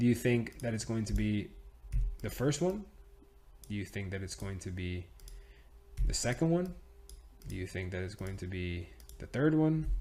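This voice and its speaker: A man speaks fairly slowly at a fairly low pitch, with an animated tone and very wide pitch swings. His speech has long, frequent pauses. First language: Spanish. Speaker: trading teacher. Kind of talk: tutorial. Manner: casual, animated.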